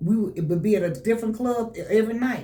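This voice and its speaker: Somewhat breathy with a dark, mellow tone, a woman speaks amid audible room echo. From Memphis, Tennessee. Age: 70s. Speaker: soul blues singer. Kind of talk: radio interview. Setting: radio studio.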